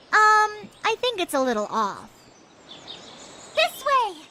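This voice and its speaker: Using a squeaky, put-on character voice, a woman speaks at an extremely high pitch and a fairly slow pace. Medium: video game. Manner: bubbly, enthusiastic.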